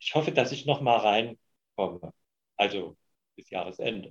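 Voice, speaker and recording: The voice moves at a moderate pace with lively intonation. It sounds somewhat breathy. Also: man. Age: 70s. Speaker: retired volunteer. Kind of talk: interview. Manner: halting.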